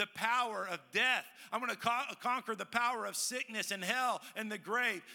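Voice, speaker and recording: A man with a high pitch uses a raised, projected voice. His tone is bright and sharp, at a moderate pace. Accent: American. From Texas, Dallas. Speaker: pastor. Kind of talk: sermon. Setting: church with congregation.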